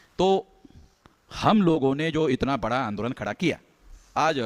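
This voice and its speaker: In a dry, close sound with no echo, a man speaks with lively intonation. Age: 60s. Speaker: activist organization leader. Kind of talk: political speech. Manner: emphatic, repetitive.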